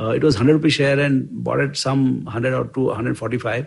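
A somewhat breathy, medium-pitched male voice. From India (village, later Bombay). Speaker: investment firm co-founder. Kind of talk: interview storytelling. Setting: office. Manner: hesitant, with fillers.

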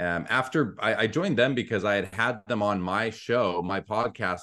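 A man talks with a Canadian Prairies accent at a fairly low pitch. The background is quiet. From Canada, Winnipeg. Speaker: sports card show host and grading company employee. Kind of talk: casual interview chat.

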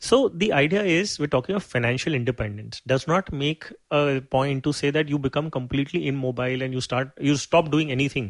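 With an Indian accent, a man talks at a fairly quick pace and fairly high pitch, with hardly any pauses, ordinary pitch variation, and a dry, close sound with no echo against a quiet background. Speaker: certified financial planner. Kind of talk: interview.

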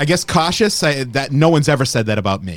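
A man speaks in an animated tone with very wide pitch swings and vocal fry. The recording is very clean, with a silent background. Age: 40s. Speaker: podcast host. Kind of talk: casual rant. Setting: studio. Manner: animated, profane.

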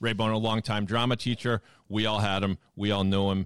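A man with a plain, everyday voice speaks at a fairly low pitch with ordinary pitch variation. The recording is very clean with a silent background, dry and close with no echo. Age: 50s. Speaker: podcast producer and host. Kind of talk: casual chat.

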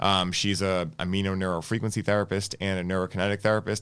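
A man with an American accent, a fairly low pitch, and a very fast pace. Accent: Boston accent noticed by others elsewhere. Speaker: wellness podcast host. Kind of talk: casual interview. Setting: studio.

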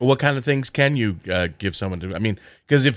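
In a very clean recording with a silent background, a man with an American accent talks at a very fast pace with lively intonation and a medium pitch. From southern New Jersey. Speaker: podcast host. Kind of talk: interview.

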